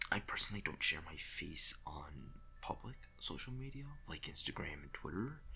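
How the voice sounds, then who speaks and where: Whispering, a man speaks with big swings in loudness. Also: moderate pace. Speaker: YouTuber and digital artist. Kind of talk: casual voiceover commentary over speedart. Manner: soft-spoken; hesitant, many fillers.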